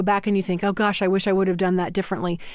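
A woman with an American accent speaks at a medium pitch with fairly even intonation in a plain, everyday voice, recorded very cleanly against a silent background. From Northeast Indiana. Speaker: hospital administrator. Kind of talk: interview.

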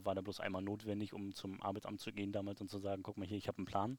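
Very fast in pace, a man talks at a fairly low pitch. His intonation is monotone and flat. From Mecklenburg-Western Pomerania, Germany (Parchim). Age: 30s. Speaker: entrepreneur. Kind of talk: casual interview. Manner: halting.

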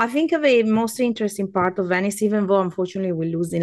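Over a quiet background, a woman with an Italian accent talks at a fairly quick pace with ordinary pitch variation. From Veneto, Italy. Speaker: food guide and podcaster. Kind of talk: casual interview chat.

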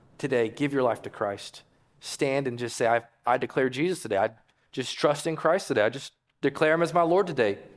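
In a very clean recording with a silent background, a man speaks fairly quickly in a normal speaking voice, at medium pitch with ordinary pitch variation. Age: 40s. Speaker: pastor. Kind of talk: sermon; pastor's fervent altar call and invitation to prayer, urging people forward. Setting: church. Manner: conversational with filler words and self-corrections; earnest, pleading, repeating phrases with rising urgency.

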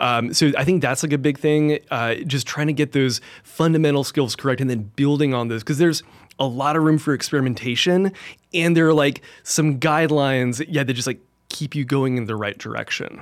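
Speaking at a fairly quick pace, a man with a plain, everyday voice talks at a fairly high pitch with ordinary pitch variation. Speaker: church tech director, audio trainer. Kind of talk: casual interview chat. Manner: relaxed, conversational, uses filler words.

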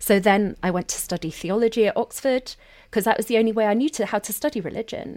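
A woman speaks very fast in a fairly high voice with ordinary pitch variation, recorded very cleanly with a silent background and a dry, close sound with no echo. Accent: London. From South London, England. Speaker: sociologist and co-host. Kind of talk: casual conversation.

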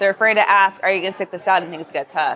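A woman's bright, sharp tone with ordinary pitch variation over crowd noise in the background. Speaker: real estate agent. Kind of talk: casual interview chat. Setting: live at conference.

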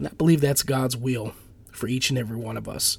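Somewhat breathy, a man speaks in an animated tone. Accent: American. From Minnesota, St. Paul. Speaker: pastor and podcast host. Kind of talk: motivational monologue. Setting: at home.

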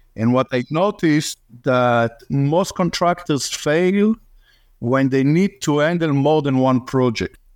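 Speaking very slowly with an Israeli accent, the voice keeps very even loudness and ordinary pitch variation in a dry, close sound with no echo. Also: man, fairly high pitch for a man, quiet background. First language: Hebrew. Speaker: real estate investor's partner. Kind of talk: casual chat.

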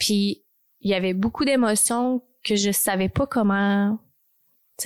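On a very clean recording with a silent background and a dry, close sound with no echo, a woman at a medium pitch speaks at a fairly slow pace with fairly even intonation. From Texas (born in Quebec, moved at six). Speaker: podcast host. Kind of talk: personal monologue. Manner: hesitant, many fillers.

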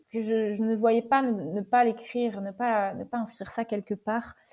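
A woman's dark, mellow voice at a moderate pace, with fairly even intonation. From western France, Deux-Sèvres (Niort). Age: 20s. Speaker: long-distance bike traveller. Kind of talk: interview testimony. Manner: hesitant, many fillers and repeated words.

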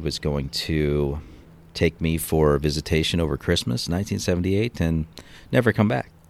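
On a very clean recording with a silent background, a man with an American accent and a very deep, low pitch speaks at a moderate pace with ordinary pitch variation. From Seattle area, Washington. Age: 40s. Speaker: police officer. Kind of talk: interview testimony. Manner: halting, many fillers.

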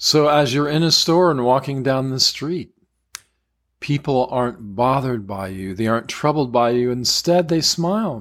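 A man with an ordinary speaking voice at medium pitch talks with lively intonation on a very clean recording with a silent background. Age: 60s. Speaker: qigong teacher. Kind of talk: guided meditation. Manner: slow; soft-spoken.

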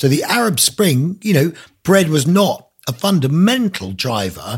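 Somewhat breathy, a man speaks at a fairly slow pace with very wide pitch swings. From Isle of Man. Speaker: author. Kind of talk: interview. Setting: video call.

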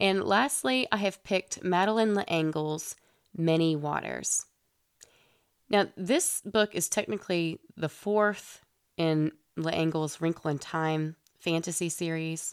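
Speaking at a very slow pace, a woman with a fairly low pitch shows ordinary pitch variation. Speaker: podcast host for parents on children's books. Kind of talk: solo podcast monologue.

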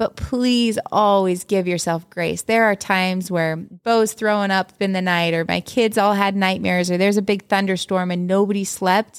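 With a normal speaking voice and a medium pitch, a woman talks at a moderate pace with fairly even intonation and hardly any pauses, in a very clean recording with a silent background and a dry, close sound with no echo. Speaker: podcast co-host and mom. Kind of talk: casual chat, podcast conversation. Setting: home, quiet recording with a baby asleep nearby.

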